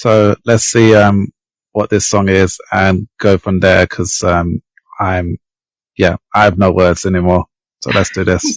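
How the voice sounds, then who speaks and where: A man with an English accent speaks at a very deep, low pitch and a fairly slow pace. His intonation is monotone and flat, with a dry, close sound and no echo. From England. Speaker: podcast co-host. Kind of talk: casual chat.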